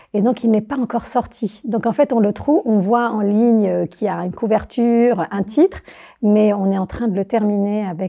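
Over a silent background on a very clean recording, a woman speaks at a moderate pace. Her voice has a fairly high pitch and a dark, mellow tone. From Algeria (Algiers). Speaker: architect and teacher. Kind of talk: interview conversation.

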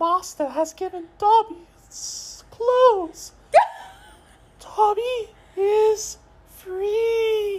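Someone uses a put-on character voice at an extremely high pitch, talking very slowly with long, frequent pauses. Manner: earnest, speaking in third person.

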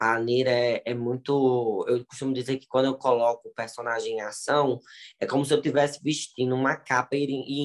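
A man has a plain, everyday voice at medium pitch, delivered with fairly even intonation. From Ceará, Brazil. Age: 20s. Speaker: digital influencer and TV presenter. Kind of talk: casual interview.

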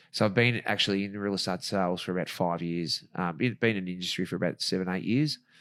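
Very deep and low in pitch, a man talks at a fairly quick pace in a very clean recording with a silent background. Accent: Australian. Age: 40s. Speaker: real estate agent and ring announcer. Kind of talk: casual chat.

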